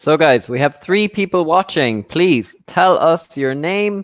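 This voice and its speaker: A man with a Cork accent speaks at a very slow pace. His intonation is lively. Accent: Irish (Cork). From Ireland, Cork. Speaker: English teacher. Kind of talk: online English lesson livestream.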